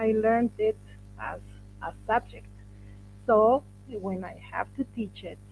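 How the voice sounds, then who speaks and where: The delivery is fairly slow. A Spanish accent can be heard. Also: woman. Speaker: workshop moderator, English teacher. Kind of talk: workshop discussion.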